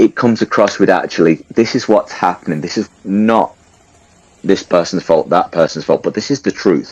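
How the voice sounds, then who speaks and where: A man with a strong English accent talks at a fairly quick pace, his pitch moving in an ordinary way. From England. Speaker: participant in live audio chat room. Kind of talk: casual discussion. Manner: animated.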